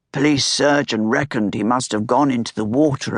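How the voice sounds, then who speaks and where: A raspy, put-on character voice over a quiet background. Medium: read story. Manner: anxious, deferential.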